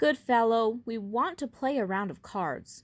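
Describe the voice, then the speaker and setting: In a very clean recording with a silent background, a woman puts on a shrill character voice at a fairly high pitch and moderate pace. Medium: read story.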